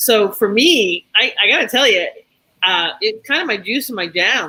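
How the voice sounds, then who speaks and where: An ordinary speaking voice from a woman, fairly high in pitch, with lively intonation. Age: 60s. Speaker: women's empowerment coach. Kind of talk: panel discussion.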